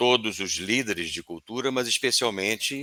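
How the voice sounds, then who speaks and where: A man speaks in a bright, sharp tone with ordinary pitch variation. The sound is dry and close, with no echo. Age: 60s. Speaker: organizational culture consultant. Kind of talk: webinar panel discussion.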